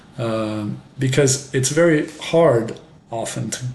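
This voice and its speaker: Room echo is audible here. A man speaks with an American accent. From France. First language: French, bilingual with English. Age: 50s. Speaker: French professor and English teaching youtuber. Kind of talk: casual monologue introduction. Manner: slow, clear pace for learners; many fillers and hesitations.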